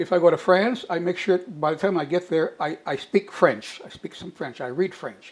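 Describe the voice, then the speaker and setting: Speaking at a moderate pace with hardly any pauses, a man uses a high pitch with ordinary variation while his loudness swings widely. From US, Mexican-American family. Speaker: retired professional discussing family and culture. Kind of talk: interview. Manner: halting, with repetitions.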